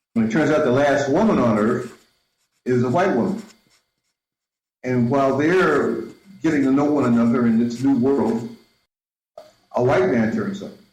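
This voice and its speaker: A man at medium pitch and a moderate pace, with lively intonation, long, frequent pauses and audible room echo. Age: 60s. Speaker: filmmaker and Afrofuturism researcher. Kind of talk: interview. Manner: halting, with many repetitions.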